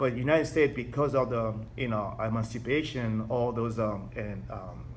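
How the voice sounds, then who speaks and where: At a moderate pace, a man with a non-native accent talks at a medium pitch with fairly even intonation. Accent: foreign accent, noticeable. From Togo, then France from age 8. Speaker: interviewee, immigrant. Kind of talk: interview. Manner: halting, many fillers.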